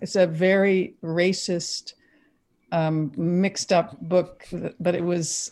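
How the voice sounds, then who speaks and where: A woman's dark, mellow voice with a Canadian accent, on a very clean recording with a silent background. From Quebec, Canada. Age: 60s. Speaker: scientist and poet. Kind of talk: interview. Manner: animated.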